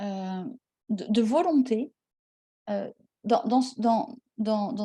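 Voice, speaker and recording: Speaking with ordinary pitch variation and a somewhat breathy quality, this voice has a dark, mellow tone and long, frequent pauses. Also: woman. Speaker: tarot card reader. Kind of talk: card reading guidance. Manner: slow; halting, many hesitations.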